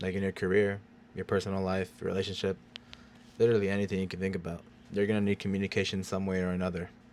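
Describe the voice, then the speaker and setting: At a very fast pace, a man talks in a monotone, flat intonation with a very deep, low pitch. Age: 20s. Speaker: vlogger. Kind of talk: casual vlog talk. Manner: low, little emotion.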